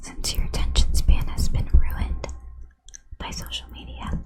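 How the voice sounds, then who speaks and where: Soft-spoken whispering at a fairly slow pace, with noticeable background noise. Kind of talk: ASMR explainer of a congressional bill. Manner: whispered; soft, relaxing.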